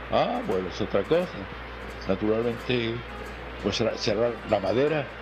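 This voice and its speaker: A man speaks at medium pitch and a fairly slow pace, with ordinary pitch variation and long, frequent pauses. Audible room echo and noticeable background noise fill the recording. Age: 70s. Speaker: interviewee recalling bullfighting history. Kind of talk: interview. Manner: halting, with many repetitions.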